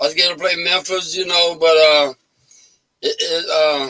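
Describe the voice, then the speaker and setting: This man has a high-pitched voice. He speaks at a moderate pace with a Louisiana accent. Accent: Southern US, Louisiana. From Louisiana, Baton Rouge. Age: 80s+. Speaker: blues musician. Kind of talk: casual interview chat.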